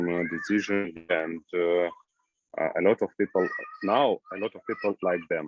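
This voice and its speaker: A man speaks with an Eastern European accent. His pitch is very deep and low. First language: Russian or Ukrainian. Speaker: new immigrant. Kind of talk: group discussion. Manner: halting.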